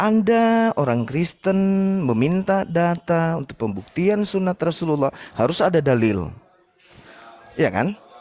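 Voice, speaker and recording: Speaking at a fairly slow pace with long, frequent pauses, a man with a high pitch and a dark, mellow tone makes very wide pitch swings. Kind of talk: heated debate. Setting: public cafe, online live debate. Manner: soft-spoken.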